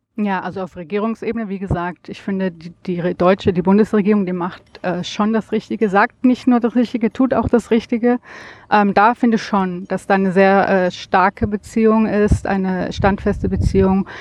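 At a moderate pace, a woman speaks in a medium pitch with fairly even intonation, the sound dry and close with no echo. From Germany. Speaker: visitor, friend of host. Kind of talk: interview. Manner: hesitant, many filler sounds.

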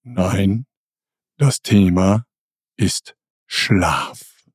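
A man's put-on character voice, fairly low in pitch with ordinary pitch variation, in a dry, close sound with no echo. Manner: calming, reassuring.

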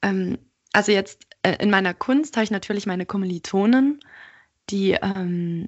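Here is a woman with a plain, everyday voice at medium pitch. Her intonation stays fairly even. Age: 20s. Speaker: art student and podcaster. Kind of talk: interview.

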